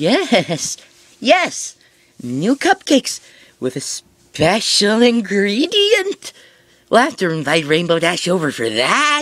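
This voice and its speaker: Someone uses a put-on character voice, pitched fairly high and delivered at a fairly slow pace. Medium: read story. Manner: giggly, manic.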